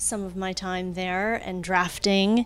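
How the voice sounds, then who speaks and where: This woman speaks in an American accent at a medium pitch and a very slow pace. Her intonation stays fairly even. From US South, Louisiana. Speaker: interior designer. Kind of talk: casual interview. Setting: studio.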